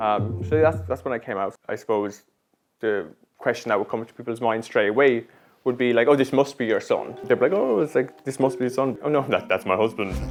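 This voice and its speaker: Talking at a fairly quick pace with a Dublin accent, a man with a medium-pitched voice shows ordinary pitch variation. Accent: Irish, Dublin. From Ireland, Dublin. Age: 20s. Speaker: interviewee in a documentary. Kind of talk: casual interview.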